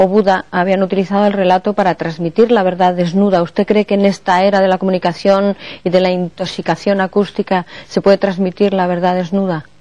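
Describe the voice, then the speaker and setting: A woman at medium pitch talks at a moderate pace over noticeable background noise. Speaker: radio program host and interviewer. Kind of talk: interview questions.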